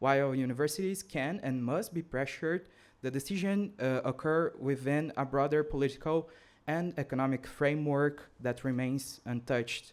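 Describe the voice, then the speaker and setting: In a very clean recording with a silent background, a man with a fairly high pitch speaks at a moderate pace with ordinary pitch variation. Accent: Brazilian. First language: Portuguese. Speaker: student activist. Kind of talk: conference speech read from script. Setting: conference. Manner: reading aloud with hesitations.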